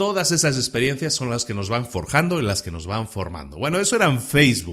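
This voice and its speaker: Vocal fry runs through a man's medium-pitched voice. His pitch swings very widely. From Spain. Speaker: podcast host. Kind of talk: podcast monologue. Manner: casual, with many hesitations and repetitions.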